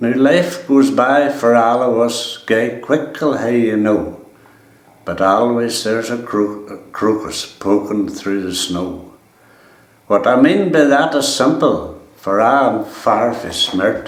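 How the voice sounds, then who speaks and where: Speaking very slowly with a Donegal accent, a man talks at a medium pitch with ordinary pitch variation. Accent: Ulster Scots, Donegal. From East Donegal, Ireland. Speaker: farmer. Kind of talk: dialect poetry reading.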